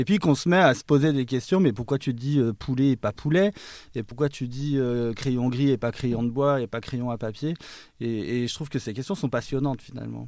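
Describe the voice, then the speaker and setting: A man's medium-pitched, unremarkable speaking voice with ordinary pitch variation, on a very clean recording with a silent background. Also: moderate pace. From Savoie, eastern France. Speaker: linguistics lecturer and author. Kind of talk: interview.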